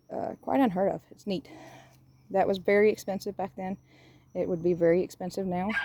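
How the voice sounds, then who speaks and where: Pausing long and often yet moving at a fairly quick pace, a woman speaks with a medium pitch, a dark, mellow tone and fairly even intonation. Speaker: cemetery restoration business owner. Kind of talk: casual video walkthrough tour. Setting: outdoors in a cemetery. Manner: fast.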